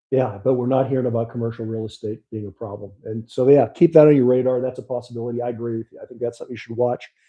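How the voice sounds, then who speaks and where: At a very fast pace, a man with a Pittsburgh accent speaks at a medium pitch with fairly even intonation and big swings in loudness. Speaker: podcast host and money manager. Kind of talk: casual podcast chat about markets. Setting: live stream studio. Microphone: audio auto-adjust problems on the mic.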